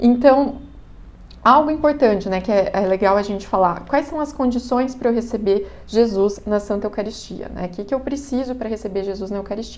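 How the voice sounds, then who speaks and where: Through noticeable background noise and audible room echo, a woman talks at a fairly quick pace with a fairly high pitch and ordinary pitch variation. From Brazil, countryside (interior). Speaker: catechism teacher. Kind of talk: lecture. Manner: casual, conversational.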